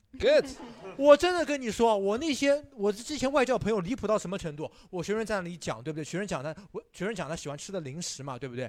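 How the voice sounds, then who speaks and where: A man's high, very fast speech with very wide pitch swings and big swings in loudness. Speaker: English teacher and stand-up comedian. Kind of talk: casual chat.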